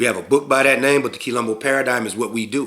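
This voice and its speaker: A man's voice has a bright, sharp tone. His intonation is fairly even. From US South, Mobile, Alabama. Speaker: spiritual and community leader. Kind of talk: casual talk to camera. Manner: halting, many fillers and restarts.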